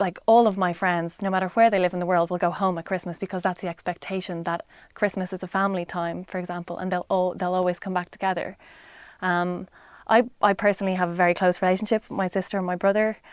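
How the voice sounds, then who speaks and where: A woman with an Irish accent talks very fast at a medium pitch, her intonation flat and monotone, on a very clean recording with a silent background. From Ireland. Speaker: interviewee. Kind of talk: casual interview answer. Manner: hesitant, many fillers.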